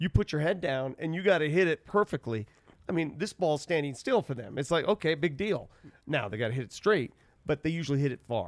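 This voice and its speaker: In a very clean recording with a silent background and a dry, close sound with no echo, a man with a normal speaking voice talks at a fairly quick pace in a fairly high pitch with lively intonation. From Denver, Colorado. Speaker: sports broadcaster. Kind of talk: casual chat. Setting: studio.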